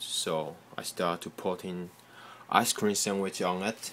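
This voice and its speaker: A man talks at a fairly slow pace with a non-native accent. His intonation stays fairly even. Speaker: software developer. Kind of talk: casual tech demo. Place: home room. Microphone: phone near.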